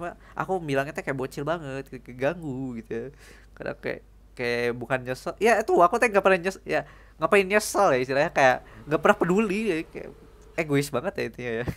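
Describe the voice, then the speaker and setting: Delivered at a fairly quick pace, the speech comes through on a very clean recording with a silent background. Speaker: streamer. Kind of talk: casual monologue vlog. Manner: rambling, hesitant.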